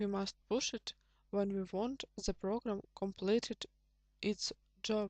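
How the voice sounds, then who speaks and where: Speaking very slowly with long, frequent pauses, a woman with a non-native accent and medium pitch keeps a monotone, flat intonation in a dry, close sound with no echo. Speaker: programming tutor. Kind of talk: tutorial.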